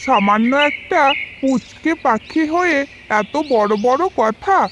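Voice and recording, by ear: This cartoonish character voice has a fairly bright tone and lively intonation. It moves at a slow pace over faint background noise. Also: woman, high pitch for a woman.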